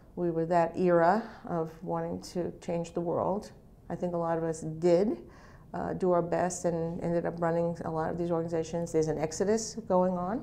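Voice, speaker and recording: A woman's fairly low, dark, mellow voice at a moderate pace, with monotone, flat intonation. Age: 60s. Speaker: nonprofit executive director. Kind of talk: interview. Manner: hesitant, many fillers.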